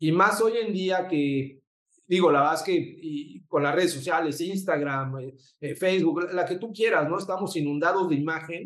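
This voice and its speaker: Moderate pace from a man with a Mexican accent, high pitch and ordinary pitch variation. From Mexico City. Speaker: photographer and designer. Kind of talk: interview. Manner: halting, repeats words.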